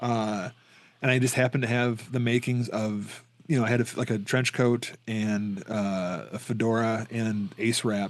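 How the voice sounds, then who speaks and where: The man's voice sits at a medium pitch, his intonation fairly even. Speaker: horror podcast co-host. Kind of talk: casual chat. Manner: fast; run-on, barely pausing for breath.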